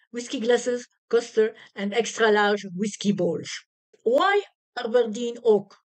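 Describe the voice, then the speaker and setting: A woman speaks very slowly in a French accent, her fairly high voice carrying lively intonation. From France. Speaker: product reviewer. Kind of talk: product review. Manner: halting.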